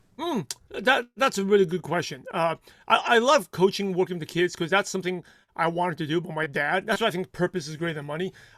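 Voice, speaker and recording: A man with a non-native accent talks at a very fast pace and a high pitch, with ordinary pitch variation. The very clean recording has a silent background and a dry, close sound with no echo. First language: not English. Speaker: consistency coach for network marketers. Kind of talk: interview.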